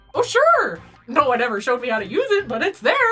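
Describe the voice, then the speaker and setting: With faint music in the background, a woman talks at a very fast pace in a put-on character voice. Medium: game stream. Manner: flustered, hesitant.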